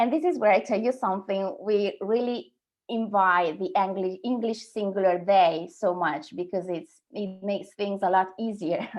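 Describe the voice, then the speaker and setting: In an Italian accent, a woman speaks at a moderate pace with hardly any pauses, her medium pitch showing ordinary variation. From Sardinia, Italy. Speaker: translator and copywriter. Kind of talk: webinar presentation. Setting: online webinar.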